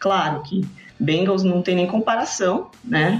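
Noticeable background noise around a woman's voice of medium pitch. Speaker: sports podcaster. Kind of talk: casual chat.

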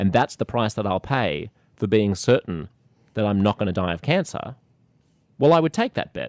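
A man with an Australian accent speaks at a moderate pace with a fairly low pitch and lively intonation, leaving long, frequent pauses. The recording is very clean with a silent background and a dry, close sound with no echo. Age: 40s. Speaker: podcast host. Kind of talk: casual interview conversation.

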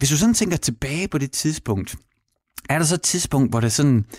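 In a very clean recording with a silent background and a dry, close sound with no echo, a man with an unremarkable speaking voice talks at a fairly high pitch with lively intonation. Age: 40s. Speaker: radio host. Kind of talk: casual chat.

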